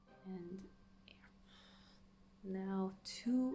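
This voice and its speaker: Noticeable background noise and audible room echo surround a woman's voice. She speaks at medium pitch with fairly even intonation. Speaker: gaming youtuber. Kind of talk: gameplay commentary. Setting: home at night. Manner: quiet, hushed.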